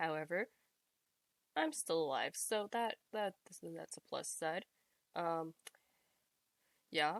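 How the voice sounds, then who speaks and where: Soft-spoken and very slow, a woman with a fairly low pitch uses lively intonation in a dry, close sound with no echo. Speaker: reddit post reader. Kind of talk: casual reading aloud of posts with commentary.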